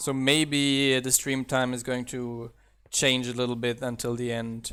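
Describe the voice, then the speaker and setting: A man's medium-pitched voice with a slight German accent, a bright, sharp tone, monotone, flat intonation, and a fairly slow pace. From southern Germany. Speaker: mod developer and streamer. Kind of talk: live game stream commentary. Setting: live stream. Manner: casual.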